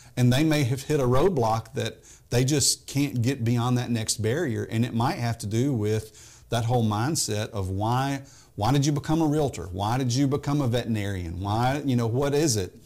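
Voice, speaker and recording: Someone with a Tennessee accent talks at a moderate pace with ordinary pitch variation. The recording is very clean, with a silent background. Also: man, medium pitch for a man. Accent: Southern US (Tennessee). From US South, Memphis, Tennessee. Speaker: business coach. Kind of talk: interview.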